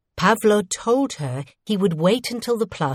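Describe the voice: Over a quiet background, someone does plain reading aloud with lively intonation.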